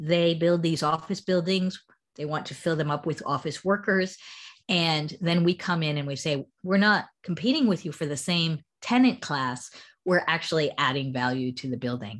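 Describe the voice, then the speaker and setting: On a very clean recording with a silent background, a woman with an American accent and a fairly low pitch speaks at a moderate pace with lively intonation. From US. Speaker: startup founder. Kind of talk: casual interview conversation.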